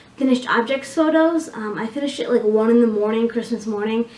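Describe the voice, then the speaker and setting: A woman with a high voice talks at a fairly quick pace over noticeable background noise. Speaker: knitting podcaster. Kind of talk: casual video podcast chat. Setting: home recording on camera. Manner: fast; filler-heavy, halting.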